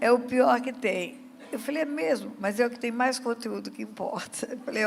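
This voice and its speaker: The voice moves at a moderate pace with ordinary pitch variation. Audible room echo surrounds it. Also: woman. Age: 70s. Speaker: pastor. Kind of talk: sermon.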